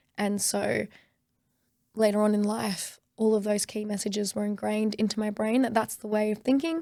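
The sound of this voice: A woman with a dark, mellow tone and vocal fry speaks at a moderate pace with little pitch movement, on a very clean recording with a silent background. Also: medium pitch for a woman.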